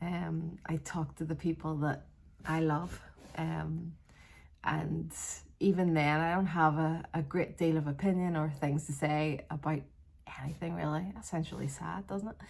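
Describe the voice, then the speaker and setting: Here a woman talks with a Northern Irish accent. Her pace is fairly slow. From Northern Ireland, Belfast area. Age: 40s. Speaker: vlogger. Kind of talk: casual vlog monologue. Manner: hesitant, with fillers and restarts.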